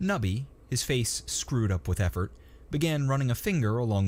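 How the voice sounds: A natural reading voice is used. Its pitch moves in a lively way.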